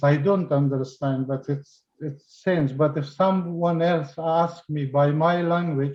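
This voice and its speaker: A man speaks very slowly in a dark, mellow tone. His pitch is fairly high and his intonation fairly even. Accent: non-native. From Afghanistan. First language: not English. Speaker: participant. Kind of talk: Q&A question. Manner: halting.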